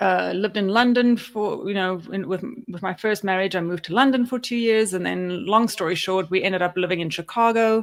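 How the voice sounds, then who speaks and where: With a South African accent, the speaker goes at a fairly quick pace with hardly any pauses. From South Africa, Cape Town. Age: 40s. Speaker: podcast co-host. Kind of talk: casual chat.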